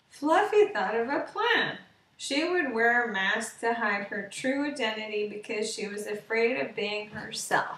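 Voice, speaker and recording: There is audible room echo as a woman speaks at a fairly slow pace. Her pitch is fairly high and varies in an ordinary way. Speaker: storyteller. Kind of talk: bedtime story read aloud, scripted children's tale. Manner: slow, gentle, soft-spoken storytelling with long pauses. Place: home room. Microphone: webcam.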